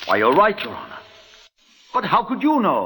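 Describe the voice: A man puts on a character voice, high-pitched with very wide pitch swings, a bright, sharp tone with a slightly husky edge, at a moderate pace.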